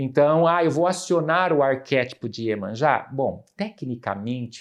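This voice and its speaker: The speech moves at a fairly slow pace with lively intonation against a quiet background. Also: man. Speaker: psychoanalyst and professor. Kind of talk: podcast interview, explanatory. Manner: animated.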